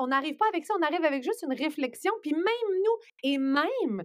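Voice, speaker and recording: Her pitch swings very widely as a woman speaks on a very clean recording with a silent background. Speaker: journalist. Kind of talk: casual podcast interview.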